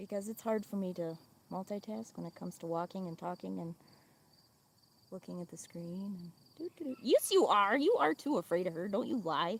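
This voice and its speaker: Lively intonation and a fairly quick pace mark this speech in an American accent, heard over noticeable background noise. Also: woman, medium pitch for a woman. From Wisconsin. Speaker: farm livestreamer. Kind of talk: casual livestream chat. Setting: outdoors on a farm. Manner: chatty, animated.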